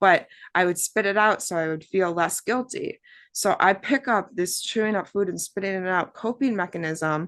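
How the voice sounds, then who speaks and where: A woman's unremarkable speaking voice at medium pitch, with an American accent, a moderate pace, ordinary pitch variation and a quiet background. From Wisconsin, US Midwest. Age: 30s. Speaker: abuse survivor and artist. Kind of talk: testimony.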